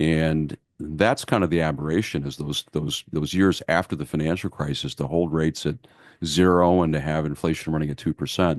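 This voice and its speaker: A man with a very deep, low pitch and fairly even intonation is recorded with a dry, close sound, no echo, and a quiet background. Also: moderate pace. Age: 60s. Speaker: market strategist. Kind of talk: podcast interview.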